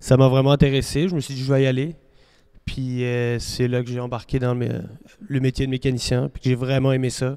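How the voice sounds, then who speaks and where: Talking at a fairly quick pace, a man with a medium pitch and dark, mellow tone keeps monotone, flat intonation while his loudness swings widely. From France. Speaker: farm machinery mechanic. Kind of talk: interview.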